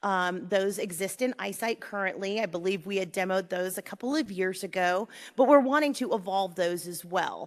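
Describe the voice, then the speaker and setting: In a very clean recording with a silent background, a woman speaks at a moderate pace and medium pitch, with ordinary pitch variation and hardly any pauses. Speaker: conference panelist presenting data tools. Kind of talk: conference presentation. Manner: loud.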